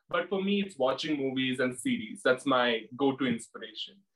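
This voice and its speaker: A man's fairly high voice, with ordinary pitch variation, plays against music in the background. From India, Kerala. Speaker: drag queen. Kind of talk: interview.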